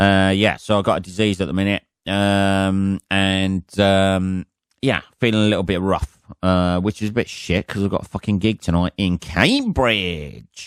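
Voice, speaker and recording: This man has a fairly low pitch and an English accent. His loudness stays very even, and the sound is dry and close with no echo. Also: fairly even intonation, fairly slow pace. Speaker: comedian and podcast host. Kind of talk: casual solo podcast monologue. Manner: rambling with many fillers.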